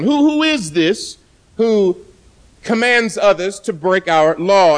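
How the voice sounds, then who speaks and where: A man speaks loudly at a fairly slow pace. His pitch moves in very wide swings. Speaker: pastor. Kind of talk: sermon. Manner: soft-spoken.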